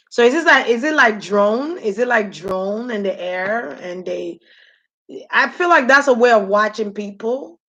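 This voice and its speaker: A woman with a Nigerian accent, animated and bright, sharp in tone, with lively intonation at a fairly slow pace against a quiet background. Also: fairly high pitch for a woman. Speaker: spiritual reader on a livestream. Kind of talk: live stream chat with viewers. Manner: casual, animated.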